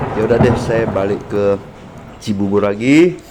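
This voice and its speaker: Noticeable background noise runs beneath a man who talks at a moderate pace. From Medan, North Sumatra, Indonesia. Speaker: fishmonger vlogger. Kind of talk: vlog narration while driving and explaining lab results.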